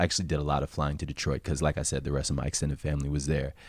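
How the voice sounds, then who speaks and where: A man with an American accent talks very fast. His voice is very deep and low, with vocal fry. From New Jersey (South Orange, Essex County). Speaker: jazz musician and mathematician. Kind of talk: interview, casual conversation.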